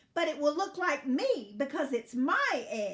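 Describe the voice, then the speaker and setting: Drawling at a fairly slow pace, a woman puts on a high-pitched character voice. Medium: read story. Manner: slow drawl, haughty.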